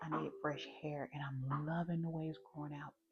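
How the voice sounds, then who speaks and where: A woman speaks with a Southern US accent. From US South. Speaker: beauty vlogger. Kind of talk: makeup tutorial with casual chat. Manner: casual, chatty.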